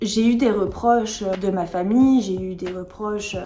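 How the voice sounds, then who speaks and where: Noticeable background noise and audible room echo surround a woman speaking fairly slowly. Her pitch is fairly high, and her intonation is fairly even. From France, born in England. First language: English (speaking French). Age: 20s. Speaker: vlogger sharing eating disorder recovery story. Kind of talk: personal testimony vlog.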